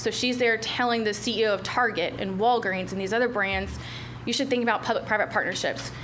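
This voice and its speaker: Fairly high-pitched speech from a woman, with ordinary pitch variation, audible room echo, and noticeable background noise. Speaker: retail recruitment consultant. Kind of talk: business presentation. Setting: county commission meeting. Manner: fast.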